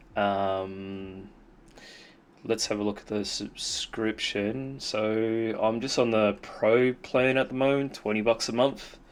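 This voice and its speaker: Talking very slowly in an Australian accent, a man holds a medium pitch and fairly even intonation. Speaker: software developer. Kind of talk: tutorial. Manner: halting, many fillers; casual.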